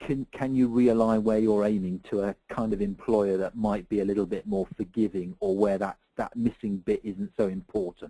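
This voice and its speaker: The voice has a dark, mellow tone and a moderate pace, with a dry, close sound and no echo. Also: man. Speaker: CV writing and recruitment advisor. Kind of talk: webinar Q&A. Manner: hesitant, many fillers.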